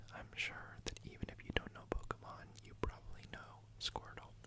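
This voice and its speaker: Someone whispers at a fairly slow pace in a calm tone. Noticeable background noise sits behind the voice. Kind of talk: ASMR whispered talk about a card collection. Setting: studio, close microphone with card and page sounds. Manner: whispered, soft-spoken, calm.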